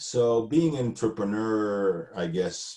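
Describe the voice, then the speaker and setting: Speaking very slowly with a Spanish accent, a man uses a fairly low pitch and ordinary pitch variation. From Argentina. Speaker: entrepreneur. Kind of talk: interview.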